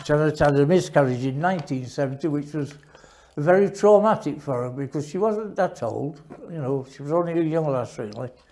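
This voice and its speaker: With a Yorkshire accent, a man speaks fairly quickly in a fairly high voice with a dark, mellow tone. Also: ordinary pitch variation. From northern England, Sheffield. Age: 80s+. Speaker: war veteran. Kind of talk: testimony. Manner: halting.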